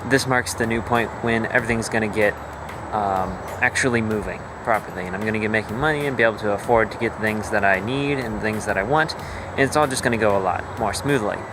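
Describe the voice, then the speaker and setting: Very fast and fairly even in intonation, a man at medium pitch talks over noticeable background noise. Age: 18. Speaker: indie game developer vlogger. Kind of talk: casual video log.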